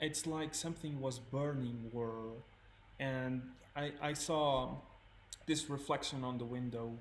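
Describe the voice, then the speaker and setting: A soft-spoken man talks at a fairly slow pace with fairly even intonation and long, frequent pauses. Noticeable background noise and audible room echo surround him. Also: medium pitch for a man. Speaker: photography student and co-host. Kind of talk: casual chat. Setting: live stream. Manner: halting.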